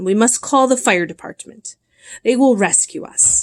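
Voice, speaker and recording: This is a put-on character voice delivered at a moderate pace. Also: woman, fairly high pitch for a woman. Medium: read story. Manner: blustering.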